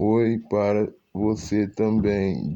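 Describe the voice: Putting on a character voice, a man speaks hoarsely at a fairly low pitch with fairly even intonation.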